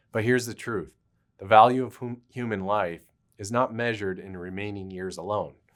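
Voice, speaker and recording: A normal speaking voice at a fairly quick pace with ordinary pitch variation, in a very clean recording with a silent background. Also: man. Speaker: attorney. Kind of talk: legal explainer talk to camera.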